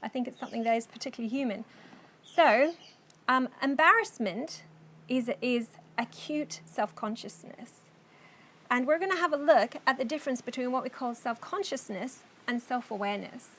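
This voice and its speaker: Pausing often and at length, a woman speaks at a high pitch. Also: lively intonation, moderate pace. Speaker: course teacher. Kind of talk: lecture.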